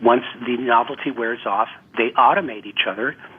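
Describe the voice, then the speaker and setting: Noticeable background noise accompanies the medium-pitched voice of a man. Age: 60s. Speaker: relationship therapist and author. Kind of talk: radio interview.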